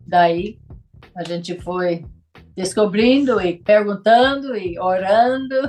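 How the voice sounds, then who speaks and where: Her pitch medium and her intonation lively, a woman speaks at a very slow pace. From US South, rural. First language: English (speaking Portuguese). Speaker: missionary. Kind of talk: casual interview.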